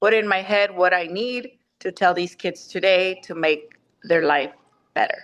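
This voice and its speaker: In a Spanish accent, a woman speaks at a fairly slow pace and medium pitch with ordinary pitch variation. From Mexico. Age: 40s. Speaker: teacher. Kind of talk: casual family chat. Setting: video call.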